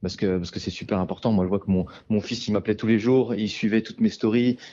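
Fairly low in pitch, a man talks at a very fast pace with fairly even intonation. His tone is dark and mellow, and the background is quiet. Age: 30s. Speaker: amateur ultra runner and sports instructor. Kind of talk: casual interview. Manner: halting.

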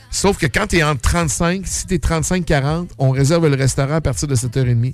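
Music plays in the background as a man talks at a fairly high pitch with ordinary pitch variation. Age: 50s. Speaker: restaurant owner. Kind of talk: casual chat.

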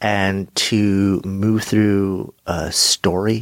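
A man speaks at a very slow pace, his low pitch held to fairly even intonation.

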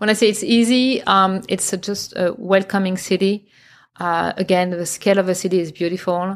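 This woman has a strong French accent and a medium pitch. She speaks at a moderate pace with fairly even intonation, in a very clean recording with a silent background. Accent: heavy French accent in English. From France, Champagne region. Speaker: interior designer. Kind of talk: casual chat. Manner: halting.

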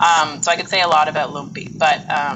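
A woman speaks with a western Canadian accent. Noticeable background noise sits behind her. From Canada, Edmonton, Alberta. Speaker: Italy travel business owner. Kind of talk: interview.

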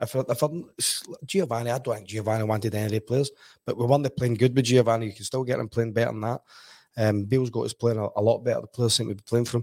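Over a very clean recording with a silent background, a man with a Glasgow accent talks at a very fast pace, his medium pitch kept in fairly even intonation. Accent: Scottish (Glasgow). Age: 40s. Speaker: football pundit, former player. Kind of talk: casual football chat. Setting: studio.

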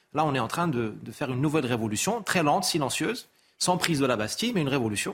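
A man talks at a fairly quick pace with lively intonation and a somewhat breathy sound. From Morocco. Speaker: essayist and consultant. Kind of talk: TV talk show interview. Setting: TV studio.

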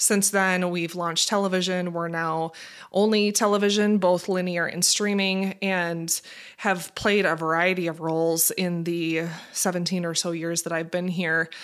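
A woman with an American accent speaks at a moderate pace. Her pitch is fairly low and her intonation is monotone and flat. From Minnesota. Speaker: marketing executive. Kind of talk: interview.

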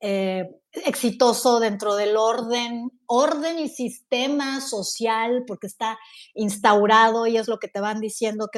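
A woman with an ordinary speaking voice talks fairly slowly at a fairly high pitch, with ordinary pitch variation. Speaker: podcast host. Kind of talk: casual chat.

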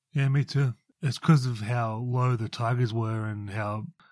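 Against a quiet background, a man speaks at a moderate pace. His pitch is medium and his intonation fairly even. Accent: Australian. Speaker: co-host. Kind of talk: casual chat.

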